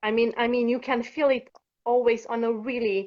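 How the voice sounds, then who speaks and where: A woman speaks with a Romanian accent. Her pitch is fairly high and her pace fairly slow. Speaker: workshop participant. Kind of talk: live-streamed coaching session.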